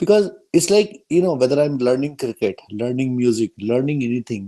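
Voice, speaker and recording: Someone speaks with an Indian accent. The pace is moderate. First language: Hindi. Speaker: workshop moderator. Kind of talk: panel Q&A.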